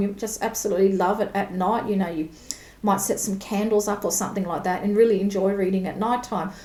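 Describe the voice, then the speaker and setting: An Australian accent amid audible room echo and noticeable background noise. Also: woman. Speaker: tarot reader. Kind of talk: tutorial. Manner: casual, conversational.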